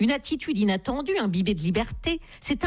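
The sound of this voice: What you hear is an unforced reading voice.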